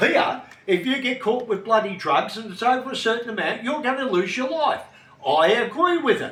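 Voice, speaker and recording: An extremely high-pitched man with an Australian accent projects his raised voice with lively intonation at a moderate pace. Audible room echo and noticeable background noise accompany him. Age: 70s. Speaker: retiree, former martial artist. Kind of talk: casual interview chat. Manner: blunt, forceful.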